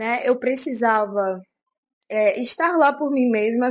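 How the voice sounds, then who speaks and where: A woman speaks with a Brazilian accent and ordinary pitch variation. The background is quiet. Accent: Brazilian accent in her English. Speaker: vlogger. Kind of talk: casual vlog talk to camera.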